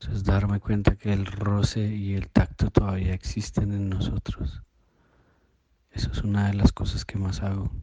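At a moderate pace, a man speaks in a fairly low pitch with a dark, mellow tone, somewhat breathy and with fairly even intonation. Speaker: listener contributor. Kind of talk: recorded voice message.

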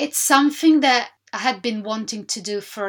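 On a very clean recording with a silent background, a woman with an Italian accent speaks at a moderate pace with ordinary pitch variation. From Sicily, southern Italy. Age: 30s. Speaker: podcast host. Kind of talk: solo monologue podcast.

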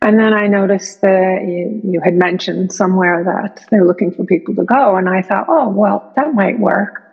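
A somewhat breathy voice at a moderate pace. Its pitch varies in an ordinary way. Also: woman, medium pitch for a woman. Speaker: Zen practitioner sharing retreat experience. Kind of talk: personal testimony.

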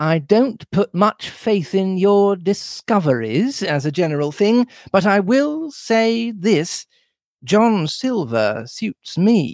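A man's put-on character voice, high-pitched with big pitch swings, slightly mellow in tone, slow, and dry and close with no echo.

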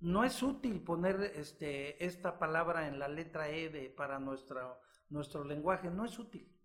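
This unremarkable speaking voice moves at a fairly slow pace. Its intonation is lively. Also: man, fairly high pitch for a man. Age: 60s. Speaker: physician and author. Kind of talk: interview.

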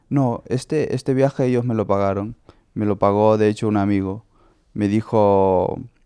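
With fairly even intonation, the man keeps to a moderate speed. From Honduras. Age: 20s. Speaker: skater. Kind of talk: testimony. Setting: host's home. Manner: halting.

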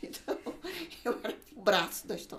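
A woman's voice comes through alongside noticeable background noise. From Brazil, São Paulo. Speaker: social media consultant for emigrants. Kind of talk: casual interview. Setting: studio.

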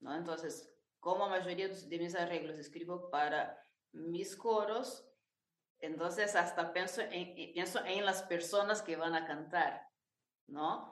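In a room with audible echo, a woman with a Brazilian accent speaks very slowly in a fairly low voice. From Brazil, interior of São Paulo state. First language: Portuguese (speaking Spanish). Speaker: choir director and arranger. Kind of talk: interview.

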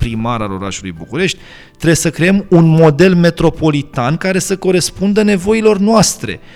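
At a moderate pace, the voice swings very widely in pitch. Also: man. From Romania, Bucharest. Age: 30s. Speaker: lawyer and law lecturer. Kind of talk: podcast interview.

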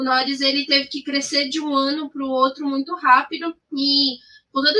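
At a moderate pace, a woman speaks in a high-pitched, raised, projected voice. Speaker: motorsport podcast co-host. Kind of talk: casual chat.

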